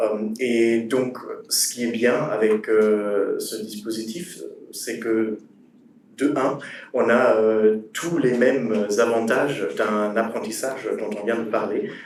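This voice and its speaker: Amid audible room echo, a man with a German accent talks at a very slow pace, using a medium pitch and fairly even intonation. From Germany. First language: German (speaking French). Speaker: former cross-border apprentice, student. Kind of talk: panel talk. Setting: conference with audience. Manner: halting, many fillers.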